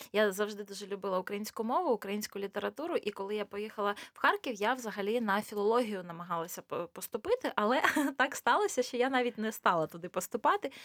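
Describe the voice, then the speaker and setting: The sound is dry and close, with no echo. A woman with a fairly high pitch and ordinary pitch variation talks at a very fast pace. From eastern Ukraine, Luhansk region. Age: 30s. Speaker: cosmetologist. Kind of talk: casual interview. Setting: studio.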